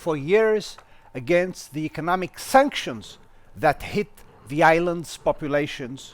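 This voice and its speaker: Speaking at a fairly slow pace, a man with a non-native accent uses lively intonation. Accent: non-native English accent, self-remarked. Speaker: interviewer. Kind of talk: formal interview introduction. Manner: formal.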